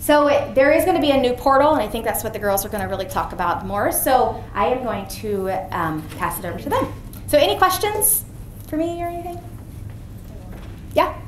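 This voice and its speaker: A woman's high voice at a fairly quick pace with very wide pitch swings and long, frequent pauses, amid audible room echo and noticeable background noise. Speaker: physician giving a health talk. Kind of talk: presentation to an audience. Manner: fast.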